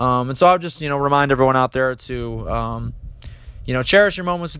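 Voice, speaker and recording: A man with a fairly high pitch and a normal speaking voice. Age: 20s. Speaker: sports podcast host. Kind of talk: solo sports commentary.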